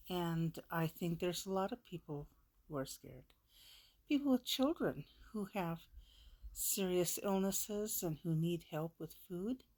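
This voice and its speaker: A fairly low-pitched woman's voice with an American accent, lively intonation, a fairly slow pace and long, frequent pauses. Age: 60s. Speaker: vlogger. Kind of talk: personal vlog monologue. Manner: halting, emotional.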